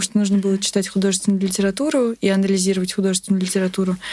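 A woman's dark, mellow tone at a medium pitch comes through on a very clean recording with a silent background. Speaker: literature student researcher. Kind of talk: interview.

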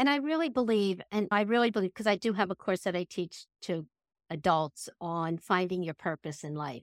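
A woman with an American accent talks at a moderate pace in an unremarkable speaking voice, medium in pitch with lively intonation. The recording is dry and close, with no echo. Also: very clean recording, silent background. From Pennsylvania, US. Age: 60s. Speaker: emotional intelligence educator and coach. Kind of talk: interview conversation.

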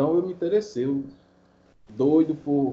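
A man speaks in an ordinary speaking voice, keeping a moderate pace. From Paraíba, Brazil. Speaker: podcast listener, sports bettor. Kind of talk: casual chat.

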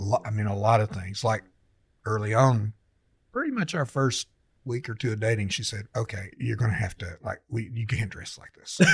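A man with a medium pitch speaks at a moderate pace, somewhat breathy, with fairly even intonation and big swings in loudness. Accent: American. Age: 60s. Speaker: senior pastor. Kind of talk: casual interview chat, personal storytelling.

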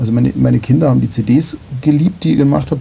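A man rattles off his words very quickly while background noise stays clearly noticeable. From Bavaria, near Munich. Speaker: podcast host. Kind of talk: casual interview. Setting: live-streamed talk, studio. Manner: loud.

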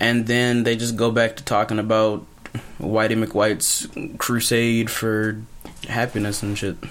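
Delivery is fairly slow, with monotone, flat intonation in an American accent. Noticeable background noise is present. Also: man, medium pitch for a man. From US South, Birmingham, Alabama. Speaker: podcast co-host. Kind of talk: casual chat. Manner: laughs often.

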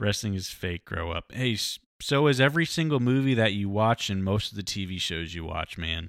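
In an unremarkable speaking voice, a man with fairly low pitch and lively intonation talks at a fairly quick pace with hardly any pauses, the sound dry and close with no echo on a very clean recording with a silent background. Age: 20s. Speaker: sports podcast host. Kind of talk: casual solo commentary. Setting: live stream.

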